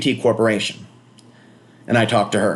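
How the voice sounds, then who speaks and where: This man speaks with an American accent. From US West Coast. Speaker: vlogger. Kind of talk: casual monologue. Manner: fast; animated.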